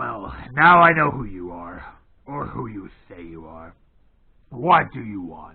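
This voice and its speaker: A gruff, put-on character voice from a man, fairly low in pitch and fairly slow, with very wide pitch swings, big swings in loudness and long, frequent pauses. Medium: read story. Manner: gruff, blunt.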